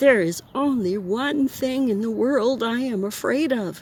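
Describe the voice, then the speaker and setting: A put-on character voice from a woman, high-pitched and husky, at a fairly slow pace. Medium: read story. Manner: polite.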